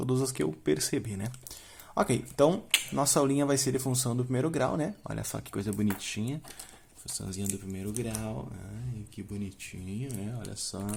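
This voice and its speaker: A man speaks at a medium pitch with lively intonation. His somewhat breathy voice shows big swings in loudness. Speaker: math teacher. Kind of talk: tutorial. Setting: home. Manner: fast; casual.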